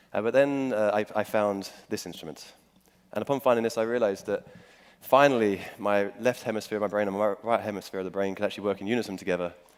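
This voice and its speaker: In a London accent, a man speaks at a very fast pace with a fairly low pitch and fairly even intonation. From England, London. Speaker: musician. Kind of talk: talk to audience. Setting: stage with audience. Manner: hesitant with many fillers.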